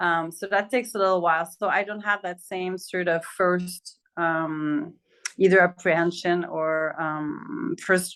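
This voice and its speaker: Speaking with a French accent, a woman uses a medium pitch and ordinary pitch variation. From Quebec, Montreal. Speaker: interviewee on intercultural perspectives. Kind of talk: interview.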